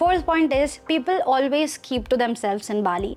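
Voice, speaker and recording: A woman speaks in a high pitch with lively intonation as music plays in the background. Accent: Indian. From India. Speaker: content creator. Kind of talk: casual vlog storytelling.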